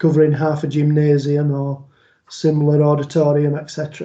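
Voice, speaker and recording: A man's fairly high-pitched voice with a dark, mellow tone and a Yorkshire accent. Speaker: police liaison officer and trainer. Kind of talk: online training presentation. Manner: conversational.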